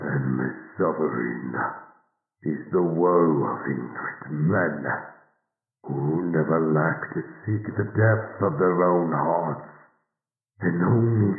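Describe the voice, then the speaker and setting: A man uses a put-on character voice with a very deep, low pitch. He talks at a very slow pace, with slight echo. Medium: audio drama.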